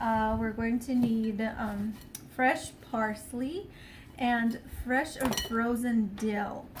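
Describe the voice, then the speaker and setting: A woman's fairly high voice carries fairly even intonation amid audible room echo. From Ukraine. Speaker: home cook. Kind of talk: tutorial. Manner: casual with frequent fillers.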